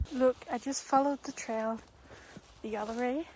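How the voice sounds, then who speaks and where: Soft-spoken and relaxed, a woman with a high voice talks at a very slow pace in a monotone, flat way. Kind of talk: ASMR nature walk, soft-spoken rambling to camera. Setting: outdoors in a forest. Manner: soft-spoken, relaxed.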